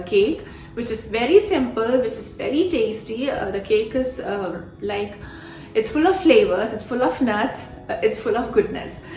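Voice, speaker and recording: A woman with a Keralan accent and a fairly high pitch speaks at a moderate pace with lively intonation, amid audible room echo and noticeable background noise. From India. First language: Malayalam. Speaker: cooking youtuber. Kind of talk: vlog introduction.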